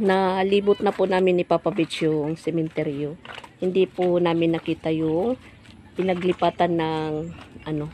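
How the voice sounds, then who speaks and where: Fairly low pitch from a woman, dry and close with no echo, against noticeable background noise. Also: fairly even intonation, moderate pace. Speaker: vlogger. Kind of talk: casual vlog talk. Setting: outdoors behind the house.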